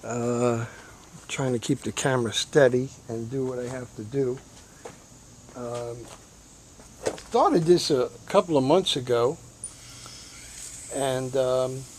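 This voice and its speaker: At a very slow pace with long, frequent pauses, a speaker with a New York accent talks over noticeable background noise. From New York City (Bronx). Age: 60s. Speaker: hobbyist vlogger. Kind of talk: casual vlog talk. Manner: halting, many fillers.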